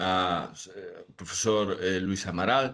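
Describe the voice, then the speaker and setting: A man speaks at a very slow pace with a Galician accent. His pitch varies in an ordinary way. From Galicia, Spain (Redondela). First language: Galician (speaking Portuguese). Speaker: professor. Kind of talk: academic lecture. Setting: video call. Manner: halting.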